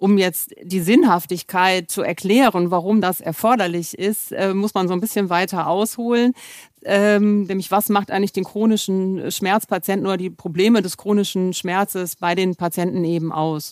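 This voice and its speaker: A woman talks at a moderate pace in a plain, everyday voice of medium pitch, with fairly even intonation. The sound is dry and close, with no echo. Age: 50s. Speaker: pain medicine physician. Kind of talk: expert interview.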